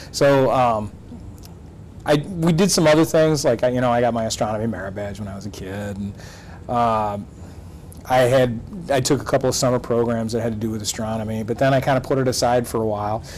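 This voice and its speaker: A medium-pitched man with a Michigan accent, fairly quick in pace, with ordinary pitch variation, long, frequent pauses and noticeable background noise. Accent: Midwestern US (Michigan). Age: 40s. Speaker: math and astronomy teacher. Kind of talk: interview. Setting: studio. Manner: hesitant, many fillers.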